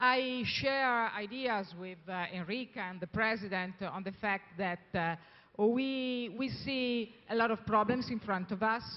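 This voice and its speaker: In an Italian accent, a woman talks at a very slow pace with ordinary pitch variation. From Italy. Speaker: business leader. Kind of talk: welcome speech. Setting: stage with audience at gala. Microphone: handheld.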